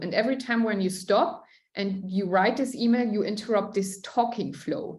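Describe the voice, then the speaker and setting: A woman with a fairly high pitch speaks at a moderate pace. Audible room echo surrounds her voice. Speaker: tech sales account executive. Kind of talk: Q&A interview. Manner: loud at times, laughing; hesitant with many fillers.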